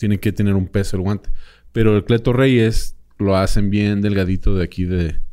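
A man speaks at a moderate pace in a fairly low pitch. His tone is dark and mellow, his intonation fairly even. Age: 30s. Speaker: boxing expert and podcaster. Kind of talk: casual chat.

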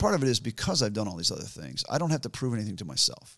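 A man with an American accent talks at a very fast pace in a medium pitch. His lively intonation carries some vocal fry. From US Midwest, rural central Michigan. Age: 60s. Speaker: endurance athlete and adventurer. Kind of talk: interview. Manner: casual, halting.

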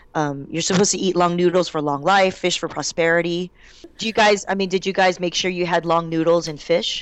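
A woman with a normal speaking voice and an American accent talks at a fairly quick pace, fairly low in pitch. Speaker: stand-up comedian. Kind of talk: interview.

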